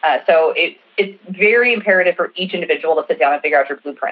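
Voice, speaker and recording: Someone with an American accent talks at a very fast pace with lively intonation over noticeable background noise. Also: woman. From US Midwest, Nebraska. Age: 30s. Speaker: lifestyle and intimacy coach. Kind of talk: casual chat.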